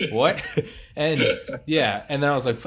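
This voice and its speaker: Fairly quick speech from a man with fairly high pitch, on a very clean recording with a silent background. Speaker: podcast host. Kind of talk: casual chat. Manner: loud; halting. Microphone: laptop mic.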